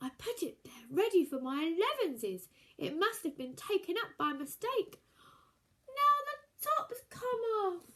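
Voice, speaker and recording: Putting on a character voice, a woman goes squeaky and extremely high-pitched at a moderate pace, with very wide pitch swings. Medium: read story. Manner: polite, earnest.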